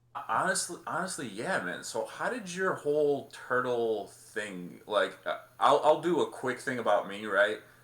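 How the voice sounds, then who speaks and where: Over noticeable background noise, a man talks at a fairly slow pace with very wide pitch swings and hardly any pauses. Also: fairly high pitch for a man. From Bosnia. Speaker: podcast guest, toy collector. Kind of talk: casual chat.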